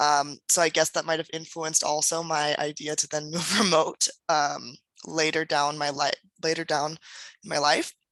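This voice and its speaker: A woman with a Californian accent, her very deep, low pitch in a flat monotone, in a dry, close sound with no echo. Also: moderate pace. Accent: Californian American. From US West Coast, San Diego, California. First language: German and Spanish. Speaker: entrepreneur and author. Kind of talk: podcast interview.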